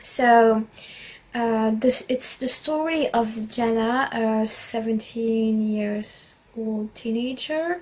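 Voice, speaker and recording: A woman speaks very slowly, her fairly high pitch held in a fairly even intonation. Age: 20s. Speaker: book reviewer. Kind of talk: casual book review vlog. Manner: halting, many fillers.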